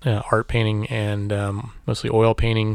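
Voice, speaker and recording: A man's plain, everyday voice at medium pitch and a fairly slow pace. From Missouri (Warrensburg, near Kansas City). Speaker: photographer and artist. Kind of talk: interview.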